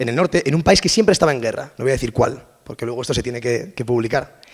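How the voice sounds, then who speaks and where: Speaking very quickly, the man keeps his pitch varying in an ordinary way. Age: 20s. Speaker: language and communication researcher. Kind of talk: conference talk. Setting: stage with audience. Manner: casual.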